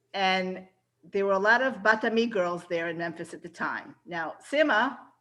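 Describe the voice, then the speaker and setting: The speaker is a woman with an American accent and a bright, sharp tone. Her pitch varies in an ordinary way. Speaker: reunion attendee. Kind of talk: casual chat.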